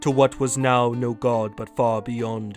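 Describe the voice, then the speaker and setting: Put-on character voice in a low-to-middle pitch, monotone and flat, at a fairly slow pace over clear background music. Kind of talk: epic verse narration. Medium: read story.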